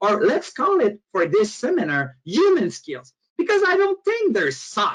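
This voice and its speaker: Speaking at a moderate pace, a man has a Quebec accent. His pitch swings very widely. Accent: French Canadian accent in English. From Quebec, Canada. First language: French. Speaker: motivational speaker and author. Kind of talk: webinar presentation. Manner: halting, with frequent fillers.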